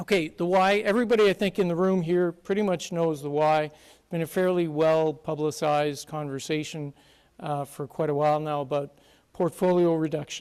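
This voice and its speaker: A man with a Canadian accent uses a normal speaking voice at a moderate pace. His pitch is fairly high, with ordinary pitch variation. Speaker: conference speaker, consulting firm partner. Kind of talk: conference presentation. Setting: stage with audience.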